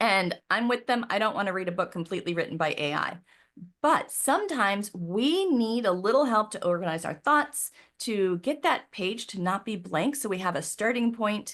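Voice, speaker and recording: In an ordinary speaking voice, a woman talks at a moderate pace with a medium pitch and lively intonation. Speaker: professional organizer. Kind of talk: webinar presentation. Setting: live video call.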